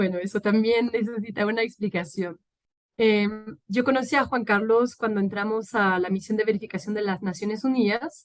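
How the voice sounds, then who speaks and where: In a French accent, a woman talks at a moderate pace with a fairly high pitch and fairly even intonation. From France. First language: French (speaking Spanish). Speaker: political scientist and peacebuilding expert. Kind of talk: interview. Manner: halting, many fillers.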